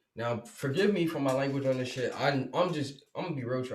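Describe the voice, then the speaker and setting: His voice is somewhat breathy. The man speaks at a medium pitch. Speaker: podcast host. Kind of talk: casual commentary monologue. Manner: halting, stuttering.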